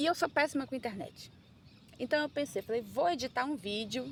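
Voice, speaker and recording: A woman speaks at a moderate pace with vocal fry. Her pitch swings very widely. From Brazil, Manaus (Amazonas). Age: 30s. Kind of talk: casual personal vlog. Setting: outdoors on a beach.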